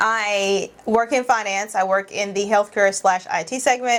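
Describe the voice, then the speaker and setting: With a plain, everyday voice, a woman talks at a moderate pace and medium pitch, her intonation fairly even. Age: 30s. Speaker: podcast co-host, sister. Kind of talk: casual chat.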